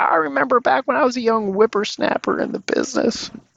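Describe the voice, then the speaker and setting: In a put-on character voice, the speaker races along at a very fast pace with very wide pitch swings. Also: man, high pitch for a man. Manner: nostalgic, reminiscing.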